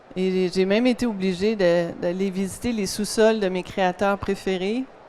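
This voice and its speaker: In a Quebec accent, a woman speaks at medium pitch and a very slow pace. Her intonation is monotone and flat. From Quebec, Montreal. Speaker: optician and eyewear designer. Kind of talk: conference talk. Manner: hesitant, many fillers.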